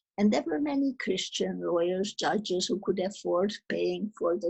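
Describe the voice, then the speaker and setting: A woman speaks with a Hungarian accent. Her pace is very slow. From Czechoslovakia (Munkács, now Ukraine). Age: 80s+. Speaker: Holocaust survivor. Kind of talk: testimony. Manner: halting.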